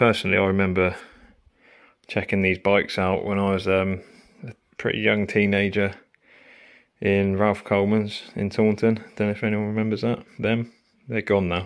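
A man's clear, smooth tone at a fairly low pitch, with little pitch movement, a moderate pace, and long, frequent pauses

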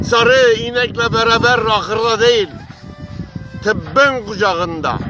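A man's high-pitched, raised and projected voice at a very slow pace, with ordinary pitch variation and music in the background. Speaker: early local radio programmer. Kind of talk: poetry reading. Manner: expressive, emotional, dramatic.

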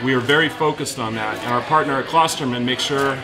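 Clear music behind a male speaker. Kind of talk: promotional talk to camera. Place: cafe.

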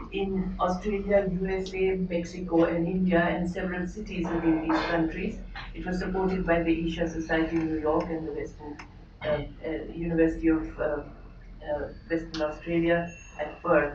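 A woman with a fairly low pitch speaks at a moderate pace in monotone, flat intonation over noticeable background noise. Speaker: speaker. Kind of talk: formal introduction. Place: hall.

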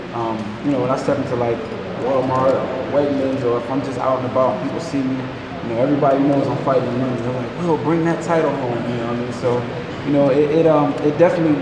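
A man speaks at a very fast pace amid loud background noise and audible room echo. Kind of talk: interview answer. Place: gym. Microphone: handheld.

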